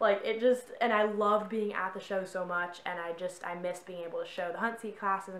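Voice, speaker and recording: A woman talks with fairly even intonation and hardly any pauses. Audible room echo surrounds her voice. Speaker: horse vlogger. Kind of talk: casual vlog chat. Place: home room. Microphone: camera far.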